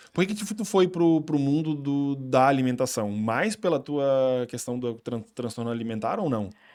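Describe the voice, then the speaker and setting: A man's fairly high voice, fairly slow yet with hardly any pauses, and lively intonation. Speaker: podcast host. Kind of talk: casual chat. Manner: talkative.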